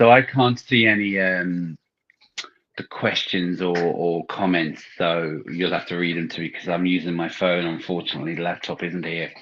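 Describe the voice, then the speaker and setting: A man's very deep, low voice in an English accent, at a moderate pace with fairly even intonation. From London, England. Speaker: movie podcast co-host. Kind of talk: casual chat. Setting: live stream on a phone.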